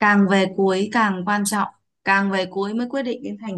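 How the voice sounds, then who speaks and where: A woman is speaking. Behind her the background is quiet. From Vietnam. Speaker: English pronunciation teacher. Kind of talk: online class lesson. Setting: video call. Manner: animated. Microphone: video call.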